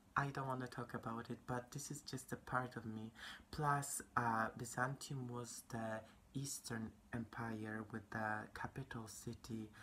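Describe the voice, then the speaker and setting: Quiet and monotone, the speaker with a Polish accent talks at a fairly slow pace over light background noise. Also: woman. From Poland. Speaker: vlogger. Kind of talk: casual chat. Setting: indoors at home. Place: home room. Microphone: phone near.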